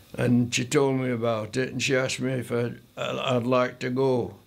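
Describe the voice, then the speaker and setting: Speaking fairly slowly at a medium pitch, a man is heard with audible room echo. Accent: Yorkshire. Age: 90s. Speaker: older guest of a tea-party charity. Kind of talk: interview testimony. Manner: halting.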